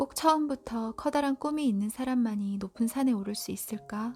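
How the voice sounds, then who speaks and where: Over music in the background, the speaker talks at a fairly slow pace in a calm tone. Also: woman. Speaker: audiobook reader. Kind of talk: sleep-time book reading. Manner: soft, calm, slow.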